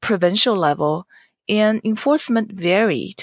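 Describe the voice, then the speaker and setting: A woman speaks at a moderate pace with a Chinese accent and a medium pitch. The sound is dry and close, with no echo. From China, Jiangsu province. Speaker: novelist. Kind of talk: interview.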